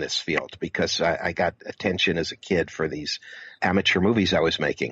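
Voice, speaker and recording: A man with an American accent speaks at a fairly quick pace in a very deep, low pitch. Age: 60s. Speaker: filmmaker and author. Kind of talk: interview.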